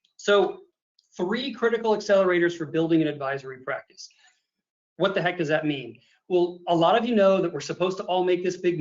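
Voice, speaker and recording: The speaker moves at a fairly quick pace with ordinary pitch variation. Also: man. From US Midwest, Illinois. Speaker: accountant and advisory consultant. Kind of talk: webinar presentation. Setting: video call webinar with screen share. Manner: fast; animated.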